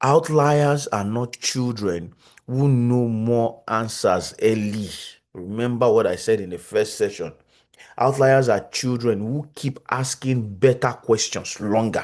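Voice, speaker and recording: A man with a strong Nigerian accent speaks very slowly at a medium pitch with ordinary pitch variation against a quiet background. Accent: thick Nigerian. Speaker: psychologist, conference speaker. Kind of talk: lecture. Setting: video call.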